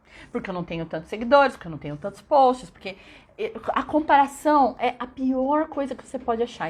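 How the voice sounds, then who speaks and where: A woman's high-pitched voice with a São Paulo accent and lively intonation. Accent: São Paulo Brazilian Portuguese. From São Paulo state, Brazil (São Bernardo). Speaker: English teacher. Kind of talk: live stream talk. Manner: animated.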